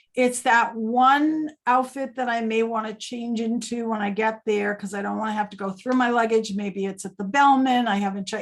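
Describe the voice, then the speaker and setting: With a normal speaking voice, a woman speaks at a moderate pace and a fairly high pitch, using fairly even intonation and hardly any pauses. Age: 60s. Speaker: travel agency owner. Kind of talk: casual interview chat. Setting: video call.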